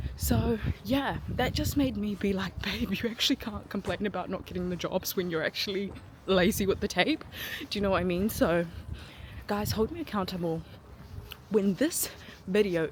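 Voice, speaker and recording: A woman's medium-pitched vocal fry at a moderate pace, with ordinary pitch variation and long, frequent pauses. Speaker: aspiring actor and vlogger. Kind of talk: casual vlog talk. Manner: animated; loud.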